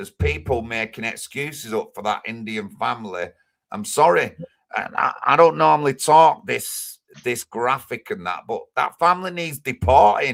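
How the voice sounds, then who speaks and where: This man speaks with a Manchester accent at a medium pitch and moderate pace. His pitch swings very widely and his loudness shifts a lot. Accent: Greater Manchester English. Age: 50s. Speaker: livestreamer, political activist. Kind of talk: live stream chat. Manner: animated.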